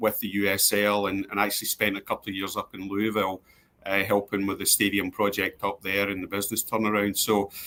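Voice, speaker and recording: Fairly low in pitch, a man with a Glasgow accent talks at a fairly quick pace in a bright, sharp tone. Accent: Scottish, Glasgow. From Scotland, East End of Glasgow. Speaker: sports club executive. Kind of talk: interview. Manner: hesitant, many fillers and repeats.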